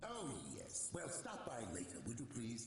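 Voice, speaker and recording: A man's put-on character voice at medium pitch and a moderate pace, with a strong echo. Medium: video game. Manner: vague, distracted.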